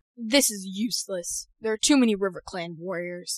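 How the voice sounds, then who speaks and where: A female-sounding voice uses a put-on character voice at middle pitch. The pace is moderate. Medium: audio drama. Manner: steady, authoritative.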